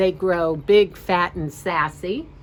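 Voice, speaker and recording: At a fairly slow pace, a woman speaks in a plain, everyday voice that is fairly low, with fairly even intonation. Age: 60s. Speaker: life coach. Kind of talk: casual video talk. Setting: outdoors. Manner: casual, with many fillers.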